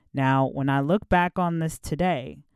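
A woman with an American accent in an animated, upbeat tone, ordinary pitch variation, on a very clean recording with a silent background. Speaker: podcast host. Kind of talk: solo podcast monologue, casual storytelling. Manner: animated, upbeat, conversational.

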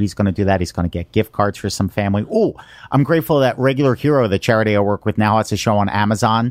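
Recorded very cleanly against a silent background, with a dry, close sound and no echo, a man speaks very fast at a fairly low pitch with ordinary pitch variation. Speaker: podcast host. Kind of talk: casual chat. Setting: studio and guest's home.

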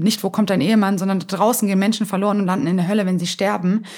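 In a very clean recording with a silent background, a woman talks at a very fast pace. Her voice is somewhat breathy, medium in pitch, with fairly even intonation. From Germany, Hamburg. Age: 20s. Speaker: evangelist and entrepreneur. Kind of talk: interview.

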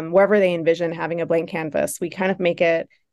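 A woman's fairly low, monotone voice with flat intonation in a Buffalo accent, against a quiet background. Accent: Buffalo, Western New York. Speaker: nonprofit founder. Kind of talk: casual interview.

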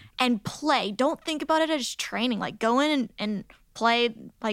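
On a very clean recording with a silent background, a woman with an unremarkable speaking voice talks at a fairly slow pace with ordinary pitch variation. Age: 20s. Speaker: ninja competitor and former gymnastics coach. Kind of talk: interview.

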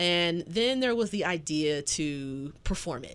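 On a very clean recording with a silent background, a woman speaks fairly slowly with lively intonation. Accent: Southern US. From US South. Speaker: podcast host and professor. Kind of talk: casual interview.

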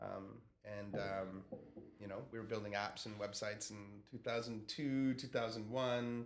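In an ordinary speaking voice, a man with a Canadian accent talks at a moderate pace and medium pitch with fairly even intonation. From Canada. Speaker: telecom digital executive. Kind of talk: casual interview.

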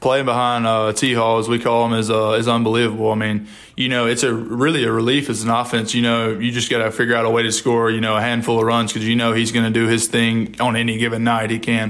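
A man talks at a very fast pace in a Mississippi accent, with hardly any pauses, a monotone, flat delivery and very even loudness. Noticeable background noise and audible room echo are present. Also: medium pitch for a man. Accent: US Southern, Mississippi. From Mississippi, Columbia. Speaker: college baseball player. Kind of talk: interview.

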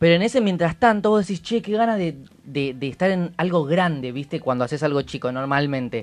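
Against a quiet background, a man with a normal speaking voice and fairly high pitch talks at a fairly quick pace with lively intonation. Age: 20s. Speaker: radio show panelist. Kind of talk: casual chat.

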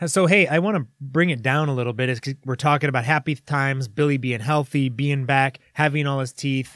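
A man with an ordinary speaking voice, fairly high in pitch, talks at a fairly quick pace with ordinary pitch variation on a very clean, dry, close recording with a silent background and no echo. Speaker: sports podcast host. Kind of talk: casual banter podcast chat.

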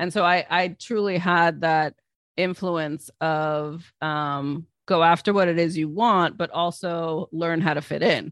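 A plain, everyday voice: a woman with an American accent, fairly low pitch, fairly even intonation and a fairly slow pace against a quiet background. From United States, Palestinian Lebanese family. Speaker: business coach and author. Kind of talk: interview conversation.

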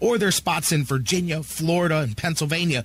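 Here a man speaks with a fairly high pitch. He sounds animated and moves at a fairly quick pace. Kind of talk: radio DJ patter, live sports-talk promo. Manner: animated, fast, punchy, hype-driven.

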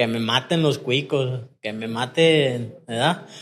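The speaker has a Mexican accent. The recording is very clean, with a silent background. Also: man. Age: 30s. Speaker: recovering addict. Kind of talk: personal testimony in casual interview.

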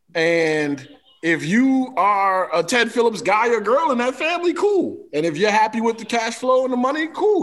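The speaker has an American accent and very wide pitch swings. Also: man. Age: 40s. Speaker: sports radio host and show producer. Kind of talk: casual chat.

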